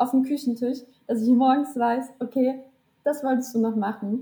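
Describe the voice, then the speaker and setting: The tone is dark and mellow. The intonation stays fairly even. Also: woman. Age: 20s. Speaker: social media content creator and student. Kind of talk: casual interview chat. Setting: video call.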